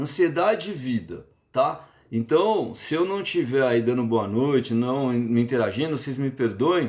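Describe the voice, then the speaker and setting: There is a man of medium pitch talking at a fairly slow pace. His intonation is lively. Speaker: psychologist. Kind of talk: lecture. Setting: live stream. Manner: halting.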